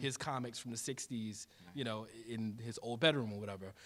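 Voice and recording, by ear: Medium in pitch, a man with an American accent talks at a fairly quick pace in a fairly bright tone. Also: ordinary pitch variation.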